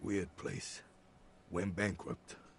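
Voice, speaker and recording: Pitched fairly low, a man puts on a raspy character voice against clear background noise. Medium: video game. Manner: curt, clipped.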